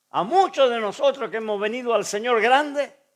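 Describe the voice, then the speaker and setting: On a very clean recording with a silent background, a man speaks at an extremely high pitch. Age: 70s. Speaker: pastor. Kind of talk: sermon.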